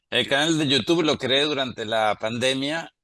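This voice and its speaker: At a fairly slow pace, the voice has a bright, sharp tone and ordinary pitch variation, with a dry, close sound and no echo. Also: man. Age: 60s. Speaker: statistics professor and biologist. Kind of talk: interview conversation. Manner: hesitant with fillers.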